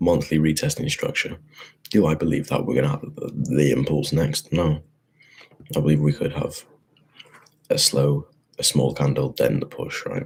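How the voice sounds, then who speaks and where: A quiet man with a British accent, animated in tone, at a moderate pace with long, frequent pauses. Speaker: forex trader. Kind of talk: market analysis tutorial. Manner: casual, animated; quiet, keeping voice down.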